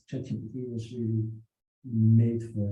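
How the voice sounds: Strong room echo surrounds a man whose dark, mellow voice sits at a medium pitch as he speaks fairly slowly.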